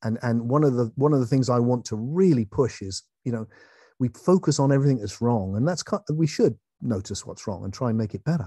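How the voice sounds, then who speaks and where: Dark, mellow tone in an English accent, with lively intonation and a fairly quick pace, in a dry, close sound with no echo over a quiet background. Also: man, medium pitch for a man. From England. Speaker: philosopher and author. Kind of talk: online talk. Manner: animated.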